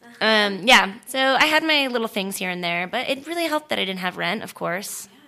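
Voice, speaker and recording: A woman with an American accent speaks at medium pitch and a moderate pace, her bright, sharp tone marked by very wide pitch swings. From Florida, small town. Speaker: stunt performer and actress. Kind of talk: casual chat.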